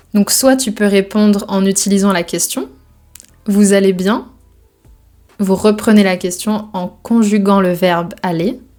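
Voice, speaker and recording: A woman speaks very slowly with fairly even intonation, leaving long, frequent pauses. Music plays in the background. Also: medium pitch for a woman. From Brittany, France. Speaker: French teacher. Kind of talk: language lesson explanation.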